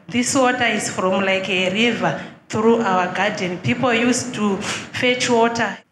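Noticeable background noise sits behind a woman with a fairly high pitch. She talks at a very slow pace with ordinary pitch variation. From Zimbabwe. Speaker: church visitor seeking help. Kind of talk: testimony. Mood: troubled, earnest. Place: church. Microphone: handheld.

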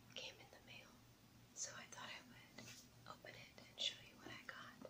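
A woman whispering, with long, frequent pauses. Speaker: ASMR creator. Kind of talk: ASMR unboxing. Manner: whispered. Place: home room.

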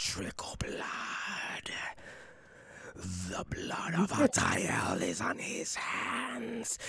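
A put-on character voice, growling and whispering at a very slow pace with long, frequent pauses. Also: man. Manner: whispered, eerie.

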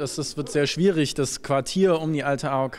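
A man talks at a fairly quick pace. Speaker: city councillor. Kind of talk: interview answer. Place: hall. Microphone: handheld.

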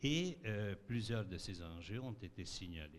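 Speaking at a very slow pace, a man uses lively intonation in a fairly low pitch. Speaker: resident. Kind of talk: public consultation statement. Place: hall. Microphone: podium.

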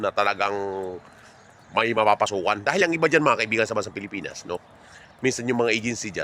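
A man talks very fast at a medium pitch in a bright, sharp tone. His pitch varies in an ordinary way, and he takes long, frequent pauses. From Philippines. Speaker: vlogger, overseas Filipino worker. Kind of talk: walking vlog monologue. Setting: outdoors, walking home from work.

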